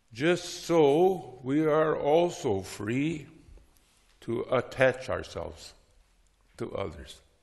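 A man with vocal fry speaks at a very slow pace with long, frequent pauses. His pitch variation is ordinary, over a quiet background. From North Dakota, US. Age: 60s. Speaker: Lutheran theologian and teacher; teacher. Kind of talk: lecture. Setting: stage with audience. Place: church.

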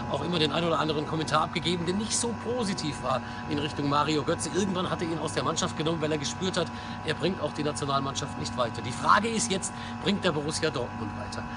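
Very fast speech plays over loud background noise. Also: man. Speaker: sports commentator and football blogger. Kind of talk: football vlog commentary to camera. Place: street. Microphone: phone near.

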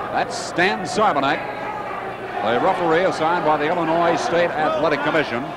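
The sound is dry with no echo, the pace fairly quick, and loud background noise runs underneath. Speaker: wrestling commentator. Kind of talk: live commentary on a wrestling match.

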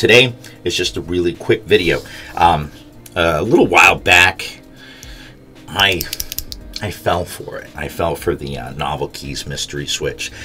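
A man speaks at a very deep, low pitch, with big swings in loudness and long, frequent pauses. Faint music plays in the background. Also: fairly slow pace. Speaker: keyboard switch reviewer. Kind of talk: casual vlog chat. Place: home room.

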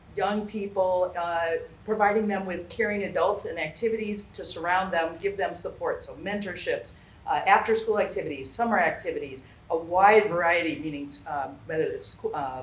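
A woman speaks at a medium pitch with ordinary pitch variation. Audible room echo and noticeable background noise surround her voice. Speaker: local elected official. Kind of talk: town hall presentation. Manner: fast; hesitant, many fillers.

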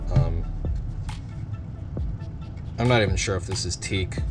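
A man talks with clear music in the background. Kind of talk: tutorial. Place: workshop. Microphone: camera far.

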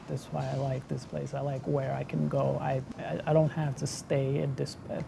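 Moderate-paced speech from a man, with noticeable background noise. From Haiti. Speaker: manufacturing worker. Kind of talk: interview testimony. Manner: halting, with repetitions. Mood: earnest, hopeful. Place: factory.

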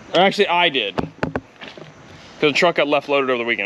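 Light noise can be heard behind a man as he speaks. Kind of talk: casual vlog chat. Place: street. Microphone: phone near.

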